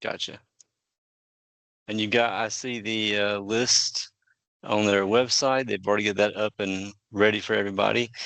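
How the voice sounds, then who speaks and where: A man with a Southern accent speaks at a moderate pace in a fairly low, monotone, flat voice. He takes long, frequent pauses against a quiet background. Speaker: podcast host. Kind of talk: interview podcast.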